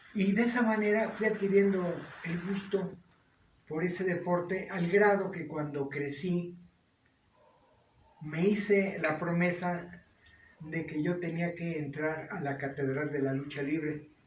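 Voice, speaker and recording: Long, frequent pauses break up this fairly slow speech, which has ordinary pitch variation and audible room echo. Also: man, high pitch for a man. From Mexico, León, Guanajuato, then Mexico City from age 13. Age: 70s. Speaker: retired lawyer and wrestling historian. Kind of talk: interview.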